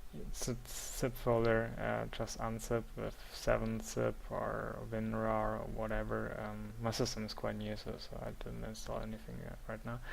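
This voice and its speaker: With audible room echo, the speaker talks at a fairly slow pace and leaves hardly any pauses. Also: man. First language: not English. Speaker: software tutorial maker. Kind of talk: tutorial. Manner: halting, many fillers.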